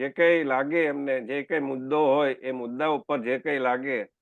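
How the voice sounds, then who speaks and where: This man has a normal speaking voice with fairly even intonation. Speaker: interviewer. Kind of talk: interview questions.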